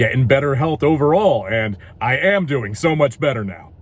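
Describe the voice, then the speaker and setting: At a moderate pace, a man speaks at a medium pitch with lively intonation and a somewhat breathy sound. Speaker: voice actor. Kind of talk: casual talk to camera.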